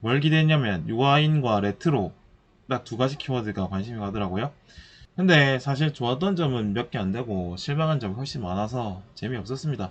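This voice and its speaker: A man speaks fairly quickly at a medium pitch. His intonation is lively. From Busan, South Korea. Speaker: movie review podcaster. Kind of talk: casual solo review talk.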